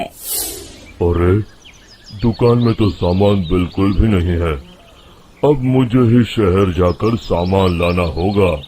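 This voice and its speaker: A man's rumbling, put-on character voice, fairly low in pitch and very slow in pace. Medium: cartoon. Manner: grumbling.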